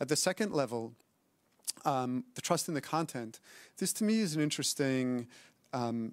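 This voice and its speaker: In a very clean recording with a silent background, a man with an American accent speaks at a medium pitch with lively intonation. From United States. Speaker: academic panelist. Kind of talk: panel discussion. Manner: hesitant fillers.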